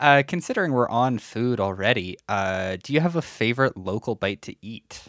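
In a Canadian Prairie accent, the speaker moves at a moderate pace with lively intonation and big swings in loudness. The recording is very clean and dry, close with no echo, over a silent background. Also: man, medium pitch for a man. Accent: Canadian (prairies). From Canada, Saskatchewan. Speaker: podcast host. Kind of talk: interview.

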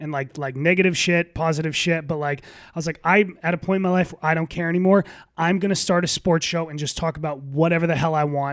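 Talking at a very fast pace with hardly any pauses, a man speaks in a high pitch on a very clean recording with a silent background. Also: fairly even intonation. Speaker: sports podcast host. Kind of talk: casual chat. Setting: guest's apartment.

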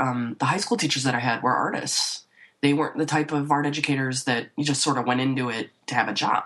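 A woman's very deep, low pitch with an American accent. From northern Illinois (Waukegan, north of Chicago). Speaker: painter. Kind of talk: casual interview. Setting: remote call from her office.

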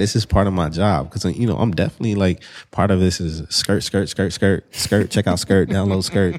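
A man's very deep, low pitch with vocal fry at a moderate pace, in a very clean recording with a silent background. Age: 20s. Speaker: marketing executive and entrepreneur. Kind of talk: casual chat.

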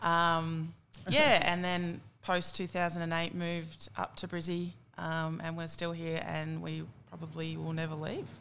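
In an Australian accent, a woman talks at a fairly slow pace in a fairly low voice with monotone, flat intonation. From Australia, country New South Wales (Tamworth). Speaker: Olympic softball player. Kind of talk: casual chat.

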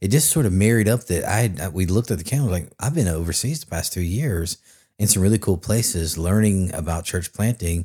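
Over a silent background in a very clean recording, a man talks at a very fast pace with a fairly low pitch. His dark, mellow tone is somewhat breathy, and his intonation is lively. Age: 40s. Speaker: church planter. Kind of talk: testimony.

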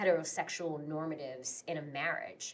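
With an American accent, a woman speaks at a moderate pace in a fairly low pitch. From New York, Queens. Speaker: podcast co-host. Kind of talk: casual chat. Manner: animated.

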